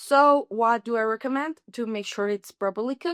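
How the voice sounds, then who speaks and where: High female voice in a Spanish accent, dry and close with no echo, very clean recording with a silent background. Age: 30s. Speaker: language student. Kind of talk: tutorial.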